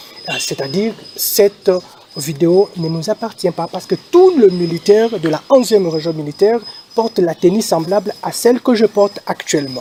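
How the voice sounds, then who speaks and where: A high-pitched man is recorded with a dry, close sound with no echo, though noticeable background noise is present. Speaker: army officer / military spokesman. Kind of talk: press statement. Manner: hesitant, many fillers.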